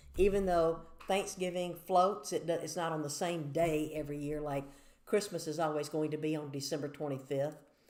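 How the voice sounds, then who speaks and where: In a Southern US accent, a woman speaks at a very deep, low pitch with fairly even intonation. Room echo is audible. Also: moderate pace. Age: 60s. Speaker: church devotional speaker. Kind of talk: devotional talk to camera. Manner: conversational, measured.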